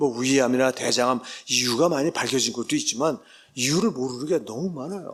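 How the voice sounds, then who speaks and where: This man has an unremarkable speaking voice, medium in pitch, delivered at a fairly quick pace with ordinary pitch variation. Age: 60s. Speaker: professor. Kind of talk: lecture. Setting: church.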